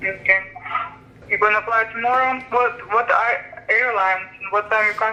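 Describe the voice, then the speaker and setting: In a Russian accent, the speaker holds a moderate pace and fairly even intonation. The loudness stays very even, with noticeable background noise behind. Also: woman, fairly high pitch for a woman. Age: 30s. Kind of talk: recorded phone call.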